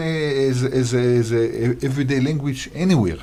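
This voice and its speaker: With an Israeli accent, a man speaks at a moderate pace and medium pitch, with ordinary pitch variation. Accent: Israeli Hebrew accent in English. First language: Hebrew. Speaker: diplomat. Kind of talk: interview. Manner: halting, many fillers and restarts.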